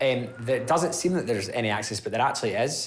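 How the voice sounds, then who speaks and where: With an Edinburgh accent, a man talks at a very fast pace and a medium pitch. His pitch varies in an ordinary way, and there is audible room echo. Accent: Edinburgh Scottish. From Scotland, Edinburgh (Leith). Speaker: property investor. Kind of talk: interview.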